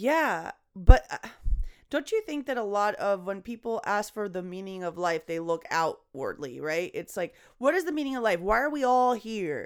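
Recorded very cleanly with a silent background, a woman with a fairly high pitch talks at a moderate pace with very wide pitch swings. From Venezuela. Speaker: comedian. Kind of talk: casual chat.

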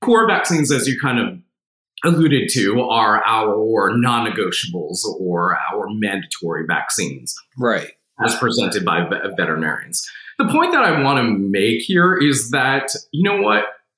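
There is audible room echo as a man with an American accent speaks at a moderate pace. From New Jersey. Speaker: veterinarian, professor. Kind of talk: expert interview.

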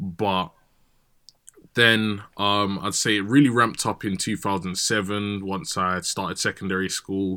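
Over a silent background in a very clean recording, a man talks at a fairly slow pace in a fairly low pitch, with a bright, sharp tone and ordinary pitch variation. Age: 20s. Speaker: radio DJ. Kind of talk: casual chat.

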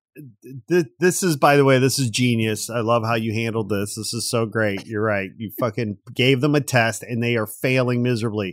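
An animated tone at a moderate pace, with ordinary pitch variation and hardly any pauses. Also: man, medium pitch for a man. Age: 50s. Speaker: podcast host. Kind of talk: casual chat. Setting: studio. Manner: animated, jokey.

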